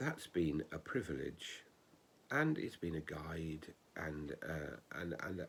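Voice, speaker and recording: He speaks at a very slow pace. His pitch is very deep and low. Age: 60s. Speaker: ordained minister. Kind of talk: spoken reflection.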